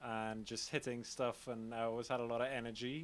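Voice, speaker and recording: A man with a Trinidadian accent talks at a moderate pace. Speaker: drummer. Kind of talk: casual interview.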